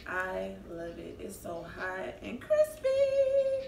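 There is audible room echo and light background noise as a woman speaks. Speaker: food vlogger. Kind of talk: casual mukbang vlog chat. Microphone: camera far.

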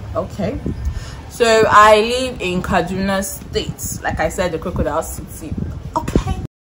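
A woman's medium-pitched voice with ordinary pitch variation, over noticeable background noise. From Nigeria, Kaduna State (north). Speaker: guest on a YouTube channel. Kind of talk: casual chat. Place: garden. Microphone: phone near.

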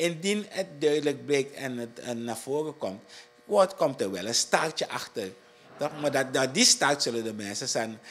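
A man talks with a Surinamese accent at a fairly slow pace. His intonation is lively. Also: fairly high pitch for a man. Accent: Surinamese Dutch. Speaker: district commissioner. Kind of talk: interview. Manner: halting. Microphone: handheld.

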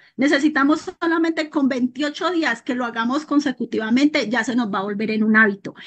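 A woman with a high voice talks at a fairly quick pace, hardly pausing, her pitch varying in an ordinary way. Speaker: network marketing consultant. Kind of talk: personal testimony. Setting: video call.

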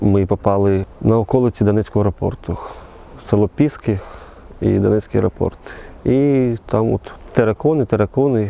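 A man speaks at a moderate pace with a fairly low pitch, ordinary pitch variation and very even loudness. Long, frequent pauses break up his speech, and the sound is dry and close with no echo. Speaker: soldier, war veteran. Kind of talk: interview testimony. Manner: halting, with false starts.

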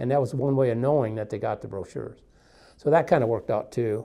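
Vocal fry runs through this man's dark, mellow tone. He talks at a fairly quick pace with ordinary pitch variation. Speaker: co-host, sales staff. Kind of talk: casual conversation. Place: studio. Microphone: lapel.

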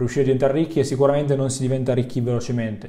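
Over a quiet background, a man talks in a somewhat breathy, dark, mellow tone with monotone, flat intonation. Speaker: online business coach. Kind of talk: educational vlog talk. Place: home room.

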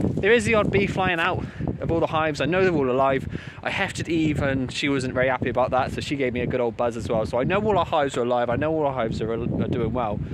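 Someone with a British accent talks at a very fast pace, the sound dry with no echo and loud background noise behind it. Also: man. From UK. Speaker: beekeeping YouTuber. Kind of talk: casual vlog talk to camera. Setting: outdoors at the hives. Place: open country. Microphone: phone near.

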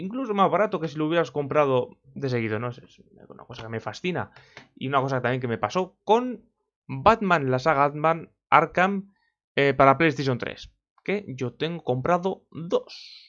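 A man speaks with a fairly high pitch and lively intonation. His voice has big swings in loudness over a quiet background. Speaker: video game YouTuber; gaming youtuber. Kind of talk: opinion vlog. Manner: fast. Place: home room. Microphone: webcam.

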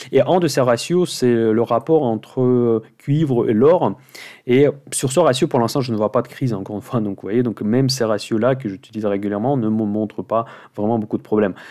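Against a quiet background, a man talks at a medium pitch in a dark, mellow tone with ordinary pitch variation. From Russia. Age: 40s. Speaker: finance YouTuber, options investor; finance YouTuber. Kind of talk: weekly market commentary monologue. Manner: fast.

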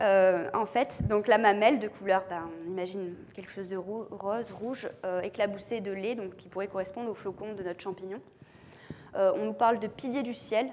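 With light background noise behind her, a woman speaks at a moderate pace using fairly even intonation. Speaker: mycologist and lecturer; lecturer. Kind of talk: lecture. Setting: conference room with audience and lapel mic. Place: hall.

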